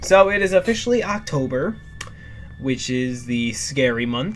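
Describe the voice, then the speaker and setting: Music playing behind a voice with very wide pitch swings. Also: man. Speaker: YouTuber reacting to videos. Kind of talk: casual reaction commentary. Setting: in his bedroom at night. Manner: soft-spoken, quiet to not disturb parents; halting, many fillers.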